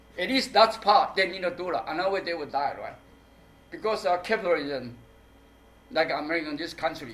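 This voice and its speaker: Noticeable background noise surrounds a man with a high voice and lively intonation. He talks at a fairly quick pace, broken by long, frequent pauses. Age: 60s. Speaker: performance artist. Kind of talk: public talk Q&A. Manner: halting.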